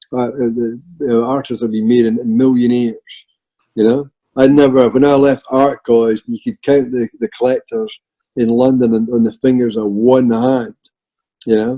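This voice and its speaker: Flat, monotone delivery at a moderate pace, with a Scottish accent and a dry, close sound free of echo. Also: man. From Scotland. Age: 60s. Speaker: artist. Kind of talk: casual chat. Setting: video call.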